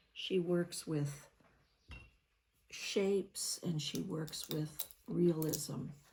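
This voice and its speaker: A woman's very slow, relaxed, somewhat breathy voice, fairly low with a dark, mellow tone and ordinary pitch variation, broken by long, frequent pauses. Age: 70s. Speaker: painting vlogger. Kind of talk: casual chat while painting. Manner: relaxed, rambling.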